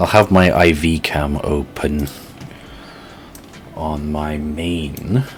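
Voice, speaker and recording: In a slight British accent, a man talks very slowly with a very deep, low pitch and fairly even intonation. Long, frequent pauses break up his speech, and there is noticeable background noise. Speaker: streamer building model kits. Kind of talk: casual live-stream chat. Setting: live stream. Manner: halting, many restarts and fillers.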